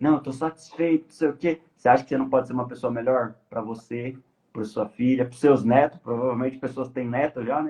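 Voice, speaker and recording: Speaking fairly quickly with a Brazilian accent, a man uses a medium pitch and a dark, mellow tone, his intonation fairly even but his loudness swinging widely. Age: 20s. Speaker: podcast guest on life purpose. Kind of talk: casual live podcast discussion. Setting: live stream.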